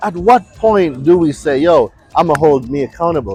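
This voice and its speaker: With music in the background, a man with a Jamaican accent talks at a moderate pace in a fairly high, animated voice full of lively intonation. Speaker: consumer law expert. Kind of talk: motivational talk. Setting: outdoors.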